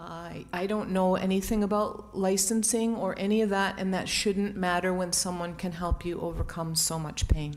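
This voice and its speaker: A woman's plain, everyday voice, a plain, everyday voice at medium pitch, moderate pace and fairly even intonation. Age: 60s. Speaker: public commenter at village board meeting. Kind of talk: public comment testimony. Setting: village board meeting.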